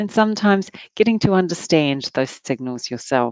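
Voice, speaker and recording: A woman speaks in a New Zealand accent with lively intonation. The sound is dry and close, with no echo. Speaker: workshop facilitator. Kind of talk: workshop talk. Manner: halting.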